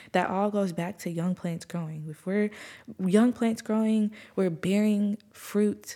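A woman of medium pitch speaks with fairly even intonation and a dark, mellow tone. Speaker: faith podcast host. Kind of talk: casual devotional monologue. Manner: fast.

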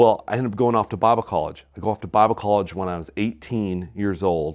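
A man's unremarkable speaking voice, fairly low in pitch, at a moderate pace with ordinary pitch variation and an American accent. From US Midwest (Wisconsin). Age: 40s. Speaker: pastor and Bible teacher. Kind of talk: podcast interview.

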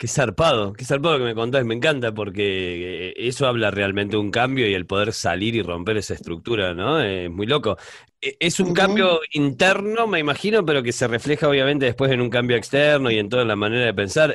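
A man talks at a fairly quick pace with hardly any pauses, at a medium pitch. He has an unremarkable speaking voice with lively intonation. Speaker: podcast host. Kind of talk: interview conversation.

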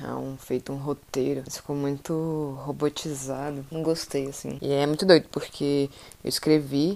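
A woman with a very deep, low pitch and a dark, mellow tone speaks at a moderate pace. Her intonation is monotone and flat, while her loudness swings a lot. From Brazil, Centre-West. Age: 20s. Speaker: podcaster. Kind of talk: solo monologue podcast. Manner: casual.

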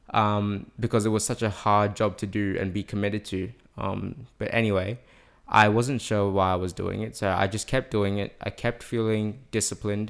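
At a moderate pace, a man speaks in a fairly low, monotone, flat voice on a very clean recording with a silent background. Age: young. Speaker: podcast guest. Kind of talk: testimony. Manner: halting.

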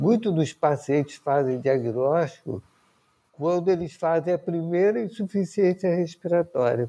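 Using a dark, mellow tone and high pitch, a man speaks at a fairly slow pace with ordinary pitch variation and very even loudness. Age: 60s. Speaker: physician and patient advocate. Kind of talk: interview. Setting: remote recording.

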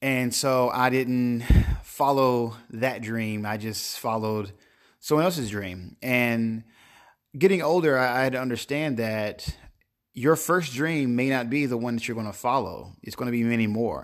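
The recording is very clean, with a silent background. A man with a medium pitch speaks at a fairly slow pace, with ordinary pitch variation. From North Carolina, small town. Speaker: podcast host, entrepreneur. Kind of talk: solo monologue podcast. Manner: hesitant, many fillers.

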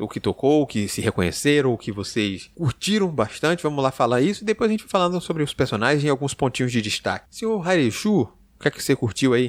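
At a very fast pace with hardly any pauses, a man's fairly high voice makes very wide pitch swings, recorded dry and close with no echo on a very clean track with a silent background. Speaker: podcast host. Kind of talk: casual chat.

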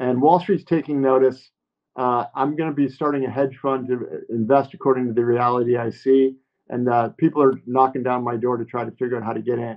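A man's medium-pitched voice, an ordinary speaking voice, at a fairly quick pace with fairly even intonation. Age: 50s. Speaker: author and former Wall Street analyst. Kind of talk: interview.

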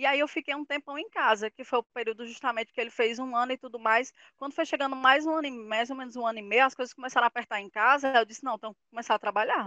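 A woman's high voice at a very fast pace, with hardly any pauses, fairly even intonation and big swings in loudness. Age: 30s. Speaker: mother sharing experience on career and motherhood. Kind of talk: casual group conversation.

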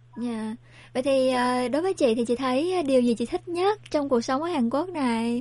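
Her pitch high and her tone dark and mellow, a woman speaks at a moderate pace with lively intonation against a quiet background. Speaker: radio host. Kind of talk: radio broadcast. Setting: studio.

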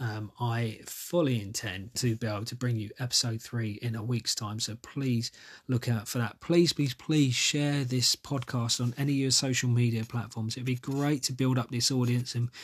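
Somewhat breathy, a man of medium pitch speaks at a moderate pace. His intonation stays fairly even. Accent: English. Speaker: podcast host. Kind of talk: solo podcast monologue. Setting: recording alone during lockdown. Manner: hesitant with many fillers.

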